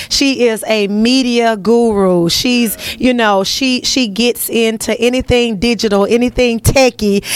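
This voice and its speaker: An animated woman with an American accent, fairly high-pitched, fairly slow yet with hardly any pauses, her loudness very even. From US South. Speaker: broadcast host. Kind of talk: interview. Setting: on location at a sheriff's office.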